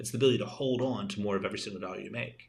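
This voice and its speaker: In an American accent, a somewhat breathy voice speaks at a very fast pace with ordinary pitch variation, with audible room echo. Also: man. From New Jersey. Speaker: tax and estate lawyer, financial adviser. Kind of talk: live-stream webinar presentation. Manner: repetitive, energetic.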